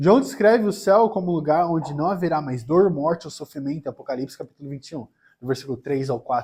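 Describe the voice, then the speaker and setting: In a Brazilian accent, a man with a dark, mellow tone, fairly high pitch and lively intonation speaks on a very clean recording with a silent background. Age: 20s. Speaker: preacher. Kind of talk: sermon.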